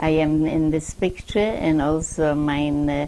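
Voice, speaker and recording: Over noticeable background noise, a woman talks at a fairly slow pace with a very deep, low pitch. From Poland. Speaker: Holocaust survivor. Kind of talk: oral history interview. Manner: halting.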